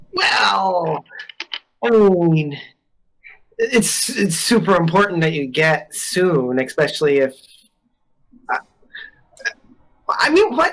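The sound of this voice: A woman uses a put-on character voice, pitched fairly low, with big pitch swings. She talks at a slow pace with long, frequent pauses.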